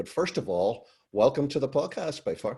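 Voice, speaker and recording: A man with a Northern Irish accent at a fairly quick pace, in a very clean recording with a silent background. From Northern Ireland. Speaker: podcast host. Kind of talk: podcast interview.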